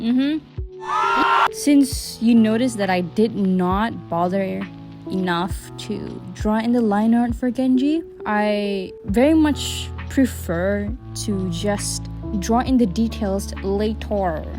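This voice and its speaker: Music can be heard in the background. Over it, a woman talks at a very slow pace. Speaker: digital artist. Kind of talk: tutorial voice-over. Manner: casual, rambling.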